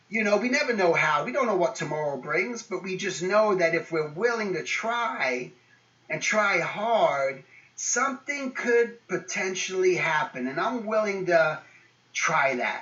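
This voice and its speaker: Noticeable background noise sits behind a man speaking at a fairly slow pace with a high pitch and lively intonation. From England. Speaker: guest speaker. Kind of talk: motivational talk to students. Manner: casual, many fillers.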